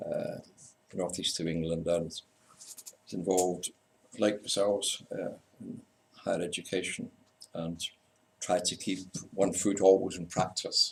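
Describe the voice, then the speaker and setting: Long, frequent pauses break up this man's speech, delivered with a slight Scottish accent. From Scotland. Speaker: university lecturer in community development. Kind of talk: conference talk. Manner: halting.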